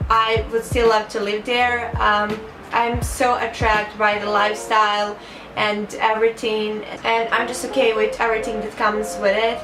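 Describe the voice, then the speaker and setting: A woman speaks at a moderate pace and fairly high pitch with a Montenegrin accent, her intonation monotone and flat. Music plays in the background, and there is audible room echo. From Montenegro. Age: 20s. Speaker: vlogger, medical student. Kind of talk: casual get-to-know-me vlog.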